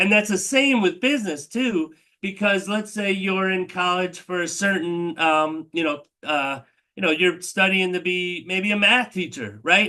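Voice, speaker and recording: The voice is raised and projected, with a bright, sharp tone. It moves at a fairly slow pace with ordinary pitch variation. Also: man, high pitch for a man. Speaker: telehealth meeting host. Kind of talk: live online Q&A presentation. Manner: casual, filler-heavy.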